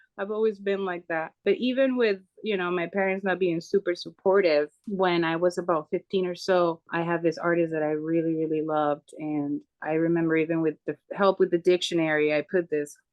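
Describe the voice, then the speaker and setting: A woman's fairly low voice with a Spanish accent, fairly quick and with hardly any pauses, with ordinary pitch variation. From Venezuela. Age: 30s. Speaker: tattoo artist. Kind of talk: podcast interview.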